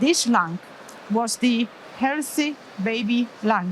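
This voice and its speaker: In a Polish accent, a woman talks with a fairly high pitch against noticeable background noise. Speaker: pediatric anesthesiologist. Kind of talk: conference lecture. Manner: halting.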